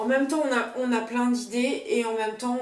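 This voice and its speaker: Over noticeable background noise, a woman with a fairly high pitch talks in a room with audible echo. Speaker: tarot reader. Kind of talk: tutorial. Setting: home video, partner filming. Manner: halting.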